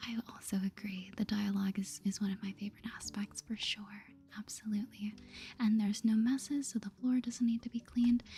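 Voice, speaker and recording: The voice is soft-spoken. The pace is moderate. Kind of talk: soft-spoken asmr gaming commentary.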